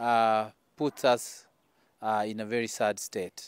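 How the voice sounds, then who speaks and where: A man is talking. The sound is dry, with no echo. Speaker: politician giving tribute. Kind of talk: condolence statement. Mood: somber, mourning. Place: garden.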